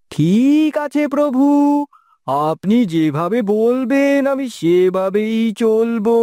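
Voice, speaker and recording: A cartoonish character voice at a fairly high pitch speaks very slowly. The recording is very clean, with a silent background. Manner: meek, deferential.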